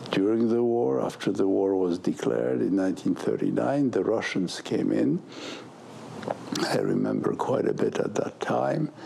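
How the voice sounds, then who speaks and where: Very even loudness at a moderate pace, with noticeable background noise. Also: man. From Poland. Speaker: Holocaust survivor. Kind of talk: interview. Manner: halting.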